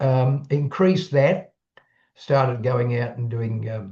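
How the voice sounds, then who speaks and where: A man with an Australian accent speaks very slowly at a medium pitch. His voice is somewhat breathy. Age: 80s+. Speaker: retired public speaker and YouTuber. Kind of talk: casual chat.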